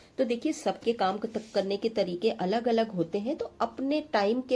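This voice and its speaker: Dark, mellow tone, somewhat breathy, with lively intonation at a fairly slow pace. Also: woman. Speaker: homemaker lifestyle vlogger. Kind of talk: tutorial. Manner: hesitant with fillers.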